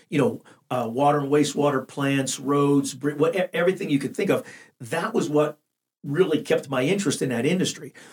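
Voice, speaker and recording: A man's somewhat breathy, fairly high voice with an American accent, at a fairly quick pace. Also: ordinary pitch variation. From western Pennsylvania, Washington County. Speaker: business development director and leadership coach. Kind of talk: interview, personal story.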